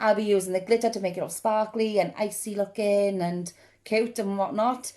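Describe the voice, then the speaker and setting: With a Welsh accent and a dark, mellow tone, a woman talks at medium pitch and a moderate pace on a very clean recording with a silent background. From South Wales. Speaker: makeup hobbyist vlogger. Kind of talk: tutorial. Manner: animated.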